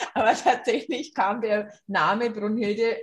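Somewhat breathy, fairly high-pitched woman with a Franconian accent, at a fairly slow pace. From Franconia, Germany. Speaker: rock singer. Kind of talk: interview.

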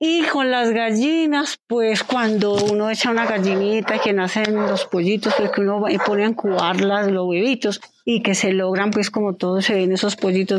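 Over noticeable background noise, a woman speaks at a moderate pace with medium pitch and ordinary pitch variation. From Colombia, Quindío (Pijao). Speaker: poultry and dairy farmer. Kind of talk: interview testimony. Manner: halting.

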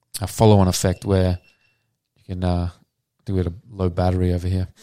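A man with an Australian accent and a very deep, low pitch talks at a fairly quick pace in a dark, mellow tone, with long, frequent pauses and big swings in loudness. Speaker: former pro squash player and flow coach. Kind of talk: podcast interview. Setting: studio.

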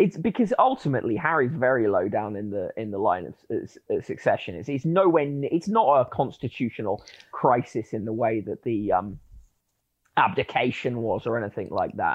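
A man talks in a British accent. His pace is moderate. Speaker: media commentator. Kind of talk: panel discussion.

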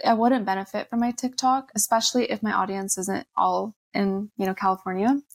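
A woman with an American accent talks in a normal speaking voice at a moderate pace, in a dry, close sound with no echo. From US. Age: 20s. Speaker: influencer and entrepreneur. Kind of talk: casual interview.

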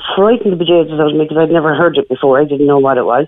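A woman speaks with a Cork accent. Her pitch is very deep and low. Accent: Irish (Cork). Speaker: caller. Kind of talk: radio phone-in interview.

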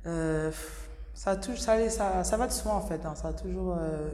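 Audible room echo and noticeable background noise surround speech that unfolds at a fairly slow pace. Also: woman. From Senegalese heritage. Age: 20s. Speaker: professional basketball player. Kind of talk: interview. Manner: hesitant, many fillers.

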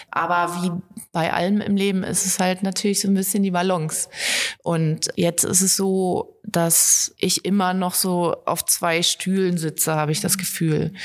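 A woman's medium-pitched voice, fairly slow and monotone, at very even loudness over noticeable background noise. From Harz region, Germany. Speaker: video editor, videographer and photographer. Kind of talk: casual interview. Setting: studio.

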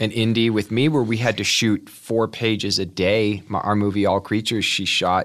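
A man's ordinary speaking voice with an American accent, fairly low in pitch, at a moderate pace with hardly any pauses and fairly even intonation. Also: very even loudness. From Kansas City area, US Midwest. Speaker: actor. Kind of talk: casual interview.

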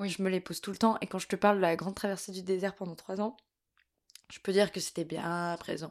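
At a moderate pace, a woman speaks in an ordinary speaking voice at medium pitch with fairly even intonation, in a very clean recording with a silent background. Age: 20s. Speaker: actress and cultural media co-founder. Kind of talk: casual chat.

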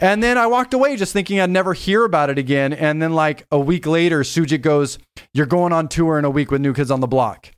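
A man's high-pitched voice, fairly quick and with lively intonation, on a very clean recording over a silent background. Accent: American. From Los Angeles, San Fernando Valley. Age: 40s. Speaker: DJ and music producer. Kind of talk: casual interview chat.

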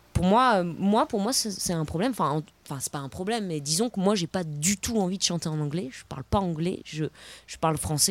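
A woman with an unremarkable speaking voice talks at a fairly quick pace. Her intonation is lively. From France, Paris. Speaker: singer-songwriter. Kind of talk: casual chat.

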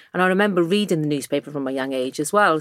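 A woman speaks in a strong Welsh accent with a very deep, low pitch. The recording is very clean, with a silent background. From South Wales valleys. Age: 40s. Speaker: magazine editor-in-chief. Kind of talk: casual interview chat.

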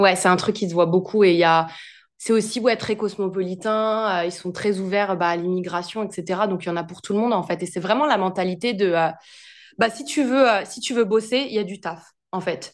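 This is a normal speaking voice from a woman. Her pitch is medium and varies in an ordinary way. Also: moderate pace, quiet background. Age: 20s. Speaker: entrepreneur and finance content creator. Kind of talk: casual interview.

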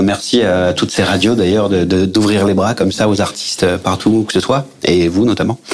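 A man's fairly low voice at a fairly quick pace, fairly even in intonation with hardly any pauses, over noticeable background noise. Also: very even loudness. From Aix-Marseille, southern France. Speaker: actor and comedy theatre director. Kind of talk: radio interview.

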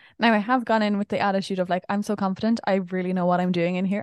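A woman's medium-pitched voice with an Irish accent at a very fast pace, against a quiet background with a dry, close sound and no echo. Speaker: podcast co-host and vlogger. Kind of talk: casual chat.

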